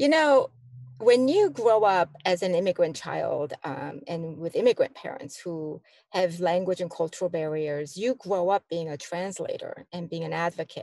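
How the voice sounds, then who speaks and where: A woman's dark, mellow voice with a Korean accent, dry and close with no echo, against a quiet background. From South Korea, then Chicago from age 12. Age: 60s. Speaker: community organization director. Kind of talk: interview conversation. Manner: hesitant, many fillers.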